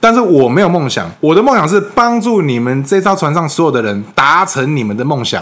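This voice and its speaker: Over noticeable background noise, a man with a fairly high pitch talks at a fairly quick pace with very wide pitch swings and hardly any pauses. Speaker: club founding president, former voice actor. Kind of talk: interview.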